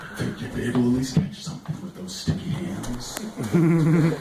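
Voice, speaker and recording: A man's pitch swings very widely while noticeable noise runs in the background. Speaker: stand-up comedian. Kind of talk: stand-up comedy routine.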